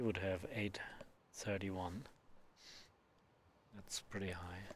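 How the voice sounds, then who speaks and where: A man speaks very slowly in a fairly low, somewhat breathy voice with fairly even intonation. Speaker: pool commentator. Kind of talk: live commentary.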